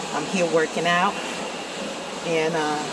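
Amid loud background noise, a woman talks at a fairly slow pace. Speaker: vlogger. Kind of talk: casual vlog chat. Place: gym. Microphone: earbuds.

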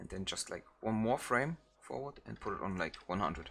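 A man with a German accent, fairly low in pitch, with vocal fry and a bright, sharp tone at a moderate pace. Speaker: video editing tutorial creator. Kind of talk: software tutorial. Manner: halting, many fillers; casual.

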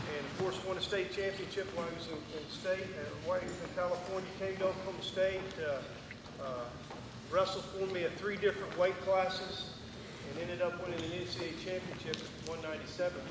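Very fast male speech with audible room echo and noticeable background noise. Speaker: wrestling coach; former Olympic wrestler. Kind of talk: coaching clinic talk. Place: hall.

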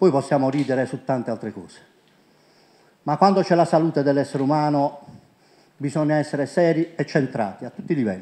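With long, frequent pauses, a man speaks in a dark, mellow tone at a fairly high pitch. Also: ordinary pitch variation, fairly quick pace. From Puglia, Italy (Monopoli); Puglia, Italy. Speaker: presenter. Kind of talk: conference talk. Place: hall. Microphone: handheld.

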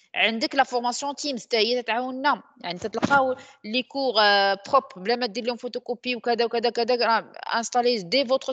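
Speaking very slowly in a Moroccan accent, a woman with a high voice leaves long, frequent pauses, her intonation fairly even and the sound dry and close with no echo. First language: Moroccan Arabic (speaking French). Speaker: trainer. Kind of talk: lecture.

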